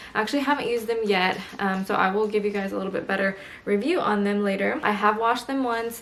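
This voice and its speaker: Someone talks at a very fast pace with fairly even intonation, amid noticeable background noise and audible room echo. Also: woman, medium pitch for a woman. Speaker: lifestyle vlogger. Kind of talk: casual vlog talk. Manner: speaking quietly.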